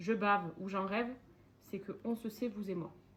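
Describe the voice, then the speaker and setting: Over noticeable background noise, a woman with a medium pitch talks in an animated tone with ordinary pitch variation. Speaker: lifestyle vlogger. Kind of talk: cooking tutorial vlog. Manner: casual, animated.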